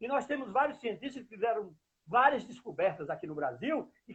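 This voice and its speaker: A man speaks with an extremely high pitch and lively intonation. His pace is moderate. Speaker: political activist, city council candidate. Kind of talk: interview answer. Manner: heated, indignant.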